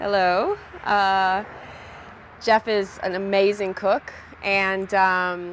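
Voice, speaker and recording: There is light background noise as a woman talks at a medium pitch. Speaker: interviewer. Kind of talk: interview host. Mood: warm, smiling. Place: waterside.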